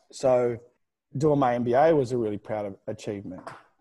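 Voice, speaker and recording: This man has a dark, mellow tone and speaks with an Australian accent. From Australia, New South Wales. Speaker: gym founder and CEO. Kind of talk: interview.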